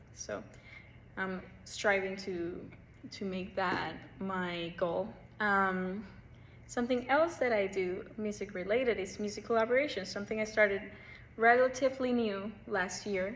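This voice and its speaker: Over audible room echo, a woman speaks at a fairly slow pace and medium pitch with ordinary pitch variation and long, frequent pauses. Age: young. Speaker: pianist and piano teacher. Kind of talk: casual self-introduction monologue. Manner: casual with frequent fillers.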